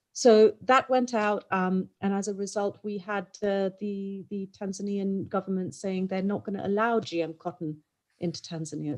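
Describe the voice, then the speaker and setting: At a moderate pace, a woman with a plain, everyday voice speaks at a medium pitch. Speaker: clothing brand executive, panelist. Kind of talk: panel discussion. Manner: frequent ums.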